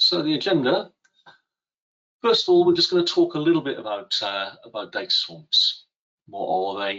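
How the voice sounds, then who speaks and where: Speaking with a British accent, a man keeps a moderate pace with long, frequent pauses. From UK. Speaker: software product expert. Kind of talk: live webinar presentation. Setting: online webinar. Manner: hesitant, many fillers.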